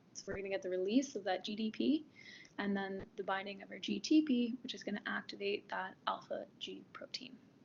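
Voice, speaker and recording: A woman's medium-pitched voice with vocal fry, ordinary pitch variation and big swings in loudness. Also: fairly quick pace. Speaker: tutorial teaching assistant. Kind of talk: tutorial. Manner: halting, many fillers.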